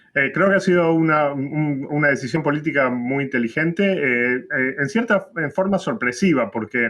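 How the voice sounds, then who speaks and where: A man with an Argentine accent talks with ordinary pitch variation. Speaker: political science professor. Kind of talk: interview. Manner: halting, many fillers.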